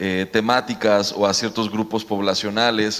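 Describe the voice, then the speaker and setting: A man speaks at medium pitch in a monotone, flat intonation. His pace is fairly slow. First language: Mexican Sign Language (speaking Spanish). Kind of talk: panel discussion.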